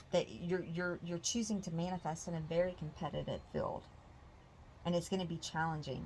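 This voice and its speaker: A woman speaks quietly at a fairly quick pace, her fairly low voice somewhat breathy. Her intonation stays fairly even. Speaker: tarot reader. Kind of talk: tarot reading. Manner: quiet, peaceful.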